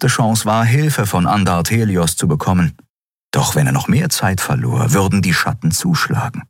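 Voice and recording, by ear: A quiet background and lively intonation while reading aloud in a natural voice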